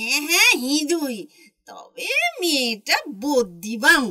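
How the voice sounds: A female-sounding, put-on character voice sits at a high pitch.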